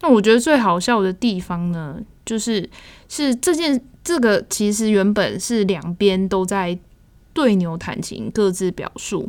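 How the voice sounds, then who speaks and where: An unremarkable speaking voice moves at a fairly slow pace with lively intonation. The recording is very clean, with a silent background. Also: woman, medium pitch for a woman. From Taiwan. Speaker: exhibition review podcast host. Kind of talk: casual chat.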